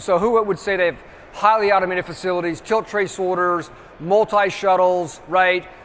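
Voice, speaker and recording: A man at a high pitch, talking at a fairly quick pace with fairly even intonation, over noticeable background noise. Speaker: trade show presenter. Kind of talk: conference presentation. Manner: fast.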